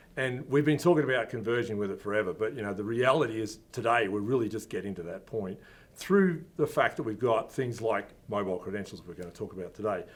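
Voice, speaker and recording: At a very fast pace and with lively intonation, a man with an Australian accent speaks at medium pitch. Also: hardly any pauses. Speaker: company founder. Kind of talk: interview. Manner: casual, with fillers.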